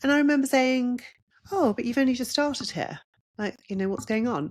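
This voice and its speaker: This woman's voice sits at a high pitch. Her intonation is lively. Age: 60s. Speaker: podcast host and counsellor. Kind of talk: unscripted personal reflection.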